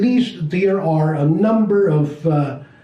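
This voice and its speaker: Amid noticeable background noise and audible room echo, a man talks at a very slow pace with ordinary pitch variation. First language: Chinese. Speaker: business teacher. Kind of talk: lecture. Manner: halting.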